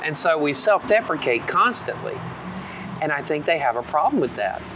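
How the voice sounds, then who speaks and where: A man speaks at a moderate pace in a fairly high voice with lively intonation. Noticeable background noise can be heard. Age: 40s. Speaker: podcast co-host. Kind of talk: casual chat. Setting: coffee shop.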